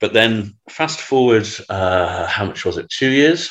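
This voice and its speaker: A man with a Manchester accent speaks with ordinary pitch variation. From Manchester, England. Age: 50s. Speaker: news site founder. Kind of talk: casual chat.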